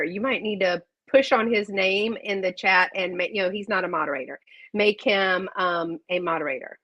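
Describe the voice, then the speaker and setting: In a Southern US accent, this woman talks at a medium pitch. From South Carolina. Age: 50s. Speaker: online vintage seller. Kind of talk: live sales stream. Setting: live video stream. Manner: animated.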